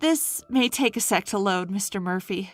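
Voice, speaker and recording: Using a put-on character voice, a woman speaks at a moderate pace with medium pitch and lively intonation. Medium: read story. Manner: polite, practiced.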